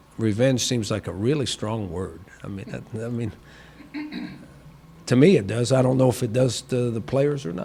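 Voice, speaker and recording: Amid noticeable background noise and audible room echo, a man speaks at medium pitch and a moderate pace with ordinary pitch variation and long, frequent pauses. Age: 60s. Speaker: football head coach. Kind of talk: press conference. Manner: halting, repeats words.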